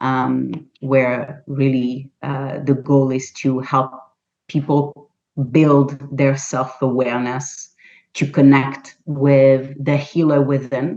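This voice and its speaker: A woman talks at a very slow pace in a very deep, low voice. Her tone is dark and mellow, her intonation flat and monotone. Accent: non-native. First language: not English. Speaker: holistic health practitioner and author. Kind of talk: interview. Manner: halting.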